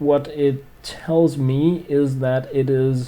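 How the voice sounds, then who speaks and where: This man talks at a very slow pace with a Scandinavian accent. His voice sits fairly high. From Denmark. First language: Danish. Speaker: gaming streamer. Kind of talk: casual livestream chat. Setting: livestream. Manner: hesitant, many fillers.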